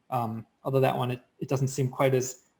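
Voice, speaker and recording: This man's voice comes across as somewhat breathy. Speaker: software demo presenter. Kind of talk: live software demo. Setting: video call. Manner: fast.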